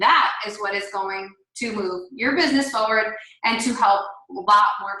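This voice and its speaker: The woman's delivery is fairly slow. Her words echo audibly off the room. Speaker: team leader. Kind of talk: team call presentation.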